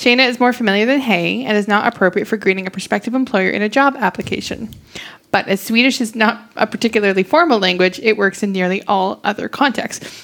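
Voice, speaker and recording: Against noticeable background noise, a woman with a fairly high pitch speaks at a very fast pace. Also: ordinary pitch variation. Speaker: podcast co-host. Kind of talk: casual chat.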